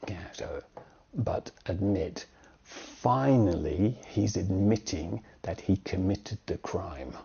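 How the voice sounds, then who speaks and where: A man with a British accent speaks at a very slow pace, his pitch fairly low. There is vocal fry in his voice, and his pitch varies in an ordinary way. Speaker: English teacher. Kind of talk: tutorial. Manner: conversational.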